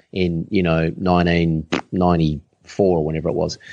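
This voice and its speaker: This voice, with an Australian accent, moves at a moderate pace against a quiet background. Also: man. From Adelaide, South Australia. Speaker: online business coach. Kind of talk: casual interview.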